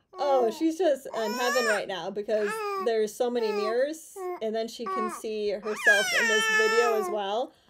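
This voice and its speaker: Against loud background noise, a woman talks at a moderate pace. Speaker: YouTuber and former physical therapist. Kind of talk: casual vlog monologue. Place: home room. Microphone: phone near.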